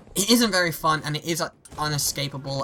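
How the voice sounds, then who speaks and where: Someone with a British accent speaks at a fairly quick pace. Noticeable background noise runs underneath. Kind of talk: gaming opinion commentary.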